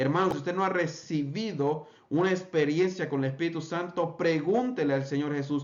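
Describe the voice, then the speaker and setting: Fairly high-pitched male speech with audible room echo. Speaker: pentecostal preacher. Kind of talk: bible study lecture.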